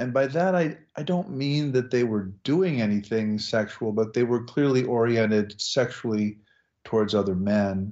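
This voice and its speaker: The pace is moderate. Loudness stays very even throughout. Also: man, medium pitch for a man, ordinary pitch variation. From US Midwest, Nebraska. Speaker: religious studies professor. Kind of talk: interview.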